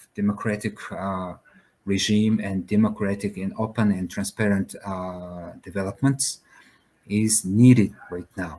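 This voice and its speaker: A man with a Mongolian accent and a fairly low pitch. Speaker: founder of a whistleblower platform, compliance officer. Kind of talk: panel discussion. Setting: video call. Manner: halting, many fillers.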